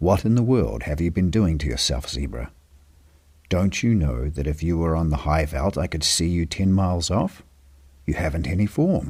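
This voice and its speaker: This man has a very deep, low pitch and a calm, somewhat breathy tone. He talks at a moderate pace with lively intonation. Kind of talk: read story; sleep story.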